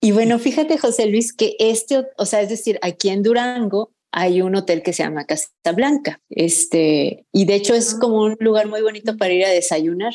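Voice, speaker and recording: A woman speaks at a moderate pace with hardly any pauses. Her fairly high voice has a dark, mellow tone and ordinary pitch variation. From Mexico. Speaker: fiction writer. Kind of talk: interview.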